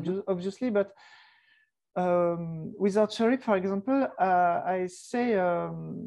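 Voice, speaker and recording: A woman with a French accent at a fairly slow pace, on a very clean recording with a silent background. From southern France (Ardèche). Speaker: archer and musician. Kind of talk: podcast interview. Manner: halting, many repetitions.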